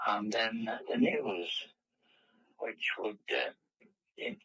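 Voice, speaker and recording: This man speaks with a South Wales accent. His pace is moderate. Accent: South Wales Valleys English. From South Wales, Merthyr Tydfil area. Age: 90s. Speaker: war memories interviewee. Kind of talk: oral history interview. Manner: halting, with many fillers.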